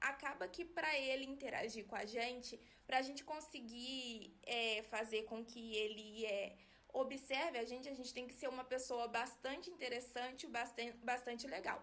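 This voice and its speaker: A woman's high-pitched voice moves along at a moderate speed. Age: 20s. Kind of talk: personal explainer video. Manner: soft-spoken; flat, little modulation.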